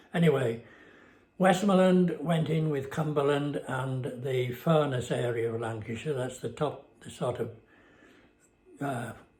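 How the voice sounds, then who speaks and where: There is audible room echo as a man with a fairly high voice speaks fairly slowly, with ordinary pitch variation and long, frequent pauses. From northern England, Westmorland (Cumbria). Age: 90s. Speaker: retired man recounting memories. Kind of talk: casual reminiscing monologue. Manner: halting, many fillers.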